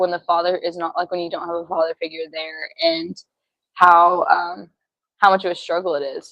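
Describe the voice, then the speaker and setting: A woman with a fairly low pitch, monotone, flat intonation and a fairly quick pace. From Arkansas. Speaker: ministry student. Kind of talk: testimony.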